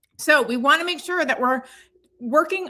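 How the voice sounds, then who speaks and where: Her voice is raised and projected, with a bright, sharp tone. This woman's intonation stays lively. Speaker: dog trainer. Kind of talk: live stream tutorial. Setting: live video stream. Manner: casual, conversational.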